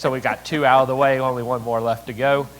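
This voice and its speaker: This man speaks with a Southern US accent. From Tennessee, Chattanooga. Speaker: city mayor. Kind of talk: conference speech.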